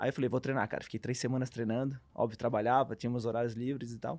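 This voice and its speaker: On a very clean recording with a silent background, a man uses a normal speaking voice at a medium pitch, with fairly even intonation and a fairly quick pace. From Brazil, Santa Catarina (Brusque). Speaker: professional beach tennis player. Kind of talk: casual interview.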